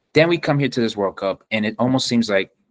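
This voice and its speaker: Talking at a very fast pace, a man uses an animated tone and ordinary pitch variation. The recording is very clean with a silent background, and the sound is dry and close with no echo. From Miami, Florida, of Colombian heritage. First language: Spanish. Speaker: soccer travel content creator. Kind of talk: podcast interview. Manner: animated, some stammering repetitions.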